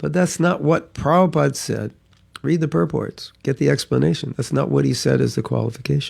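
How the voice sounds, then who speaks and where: Putting on a raspy character voice, a man talks at a medium pitch and a fairly quick pace. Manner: energetic, passionate.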